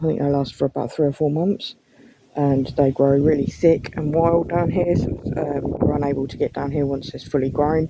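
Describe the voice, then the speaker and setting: A woman speaks at a very deep, low pitch and a moderate pace, her intonation fairly even. Noticeable background noise runs underneath. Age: 30s. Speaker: gardening vlogger. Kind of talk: casual walk-through vlog. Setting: outdoors in garden. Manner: casual, hesitant with many ums.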